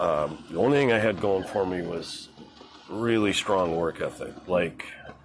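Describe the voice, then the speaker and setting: Noticeable background noise sits under a man speaking at a fairly slow pace, with a fairly low pitch and ordinary pitch variation. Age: 60s. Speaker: boating and fishing livestreamer. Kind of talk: casual monologue on a livestream. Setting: on a boat outdoors. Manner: halting, many fillers.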